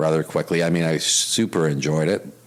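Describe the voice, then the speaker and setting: Someone with a Canadian Prairies accent talks at a very fast pace against noticeable background noise. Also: man. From Canada, Winnipeg. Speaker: retired police officer and risk consultant. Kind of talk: interview. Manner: many fillers and repetitions.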